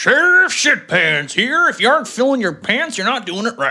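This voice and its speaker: Loud and booming, a put-on character voice in a Texan accent runs at a moderate pace with a fairly high pitch and very wide pitch swings. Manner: crude, comic.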